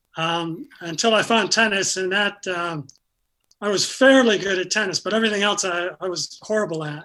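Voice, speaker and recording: With an American accent, a man speaks in a raised, projected voice at a high pitch. His tone is bright and sharp, with ordinary pitch variation and a moderate pace. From upstate New York (Syracuse). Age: 70s. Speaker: retired pickleball player with Parkinson's. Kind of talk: interview. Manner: halting, many fillers.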